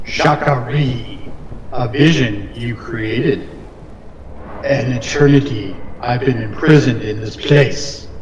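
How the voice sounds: Using a put-on character voice at a medium pitch, a man speaks fairly slowly with long, frequent pauses, against clear background noise and slight echo.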